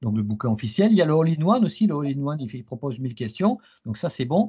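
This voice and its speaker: Over a quiet background, a man speaks at a very fast pace with very wide pitch swings. His tone is dark and mellow, and somewhat breathy. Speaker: CISSP trainer and interviewer. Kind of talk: interview. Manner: stammering repetitions.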